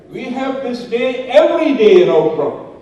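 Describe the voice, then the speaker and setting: Noticeable background noise mixed with audible echo from the room. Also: man. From Indonesia. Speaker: village official and cardiologist. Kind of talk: public speech. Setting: gala stage with audience.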